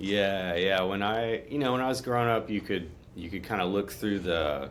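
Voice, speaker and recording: Over audible room echo, a man with a Texan accent speaks at a moderate pace and a fairly low pitch, with ordinary pitch variation. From Texas, Conroe near Houston. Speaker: guitar player. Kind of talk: interview conversation.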